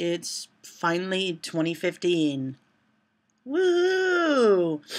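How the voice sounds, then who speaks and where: On a very clean recording with a silent background, a woman talks. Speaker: vlogger. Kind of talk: casual vlog monologue.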